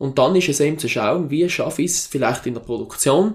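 A man with a plain, everyday voice speaks at a fairly high pitch, with ordinary pitch variation. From South Tyrol, Italy. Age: 20s. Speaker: mountain farmer and university lecturer. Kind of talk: interview.

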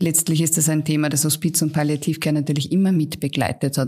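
A woman's very deep, low voice, very fast and monotone with flat intonation, on a very clean recording with a silent background. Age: 40s. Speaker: palliative care physician. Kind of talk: interview.

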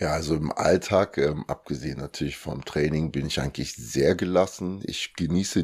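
A man talks at a moderate pace in a very deep, low pitch with ordinary variation. His tone is dark and mellow, with vocal fry. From Germany (Lower Saxony, then Cologne), born in Congo. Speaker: bodybuilding athlete and coach. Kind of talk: interview.

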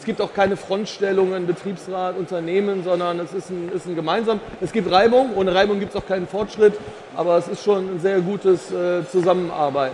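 A man talks at a fairly quick pace with a high pitch and fairly even intonation. Noticeable background noise sits behind him. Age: 50s. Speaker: insurance executive. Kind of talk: casual chat. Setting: stage at trade fair.

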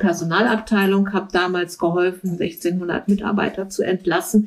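A woman with a plain, everyday voice speaks at a medium pitch and moderate pace, her intonation fairly even. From Berlin. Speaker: recruiter. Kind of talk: interview. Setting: at home.

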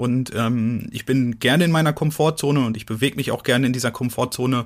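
This man has a plain, everyday voice at medium pitch. He talks at a fairly quick pace with fairly even intonation. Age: 30s. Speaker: adventurer and author. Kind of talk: interview. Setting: video call.

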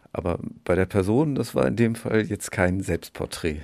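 A man with a plain, everyday voice, fairly low in pitch with ordinary pitch variation, at a moderate pace in a very clean recording with a silent background. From northern Germany, Schleswig-Holstein (Bad Segeberg). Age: 50s. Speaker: children's book author, actor and musician. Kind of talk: casual interview. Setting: outdoors on a backyard balcony.

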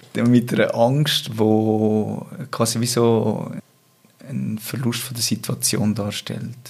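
Over noticeable background noise, a man talks very slowly at a medium pitch, his intonation fairly even. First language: Swiss German (speaking German). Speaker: interview guest. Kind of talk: personal interview conversation. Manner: halting, many repetitions.

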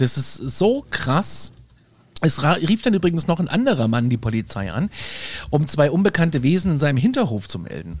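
Animated in tone, a man with vocal fry speaks at a fairly high pitch with very wide pitch swings. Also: moderate pace. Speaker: podcast host. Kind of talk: casual chat.

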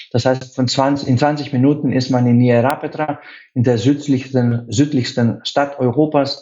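With music in the background, a man of medium pitch speaks fairly slowly in a Greek accent, his intonation monotone and flat and his loudness very even. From Greece, Athens. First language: Greek (speaking German). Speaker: hotel sales director. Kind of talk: radio interview.

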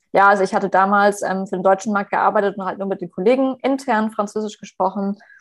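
A woman talks at a very fast pace with hardly any pauses. The background is quiet. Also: medium pitch for a woman, fairly even intonation. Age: 20s. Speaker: HR manager and career coach. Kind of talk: podcast interview.

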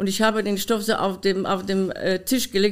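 On a very clean recording with a silent background, a woman talks at a medium pitch and moderate pace. Her Polish accent comes with monotone, flat intonation. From Poland. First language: Polish (speaking German). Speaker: dance costume designer and former dancer. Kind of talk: interview. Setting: her studio.

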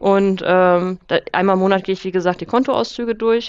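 A woman speaks in a normal speaking voice at a medium pitch and moderate pace, with fairly even intonation over a quiet background. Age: 30s. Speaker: finance author and coach. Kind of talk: casual interview.

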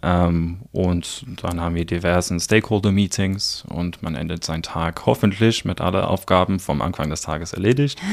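Speaking at a moderate pace with hardly any pauses, a man with a very deep, low pitch uses ordinary pitch variation. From South Africa. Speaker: project manager. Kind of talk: interview. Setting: studio. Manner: hesitant, many fillers.

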